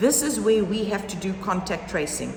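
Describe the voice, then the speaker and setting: Noticeable background noise fills the space around a woman's voice. The room adds an audible echo. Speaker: primary school head. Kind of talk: informational talk to parents. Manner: conversational, informal.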